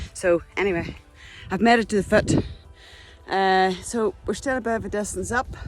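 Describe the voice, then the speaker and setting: A woman with a Northern Irish accent speaks at a moderate pace and medium pitch. Her intonation is fairly even, with long, frequent pauses over music in the background. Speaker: hiking vlogger. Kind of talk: outdoor vlog. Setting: outdoors, mountain hike.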